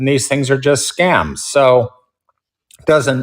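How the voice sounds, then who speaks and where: A man's unremarkable speaking voice at a moderate pace, with fairly even intonation. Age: 60s. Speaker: short seller, investor. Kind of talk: interview.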